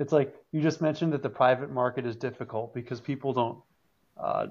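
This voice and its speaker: This man has an ordinary speaking voice. His pitch is medium and his intonation fairly even. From New England, US. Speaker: car enthusiast. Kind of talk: casual chat.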